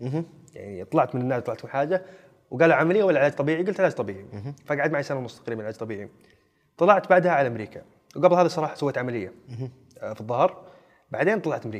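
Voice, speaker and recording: A man talks at a very fast pace with a fairly high pitch and lively intonation. Long, frequent pauses and big swings in loudness mark his speech. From Saudi Arabia, Najd (Riyadh region). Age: 20s. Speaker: actor. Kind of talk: casual chat. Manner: animated.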